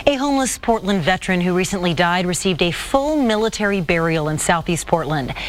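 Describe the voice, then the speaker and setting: A woman talks at a fairly quick pace in a medium pitch. Noticeable background noise runs beneath her. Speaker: TV news anchor. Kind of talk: TV news anchor read.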